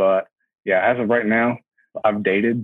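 A man at medium pitch with an American accent, monotone and flat in intonation. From West Virginia, Huntington. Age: 30s. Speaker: emergency communications lieutenant. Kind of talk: casual interview.

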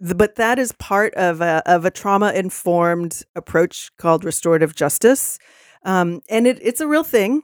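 A woman with an American accent uses a normal speaking voice at a moderate pace, with medium pitch and lively intonation. The recording is very clean with a silent background, dry and close with no echo. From Texas. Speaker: city council candidate. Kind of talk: interview. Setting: podcast studio.

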